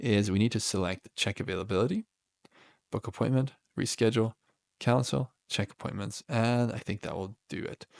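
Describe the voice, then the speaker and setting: A man talks at a medium pitch with ordinary pitch variation. The sound is dry and close with no echo, over a quiet background. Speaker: tech tutorial creator. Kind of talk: screen-share software tutorial. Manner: fast; casual with many fillers.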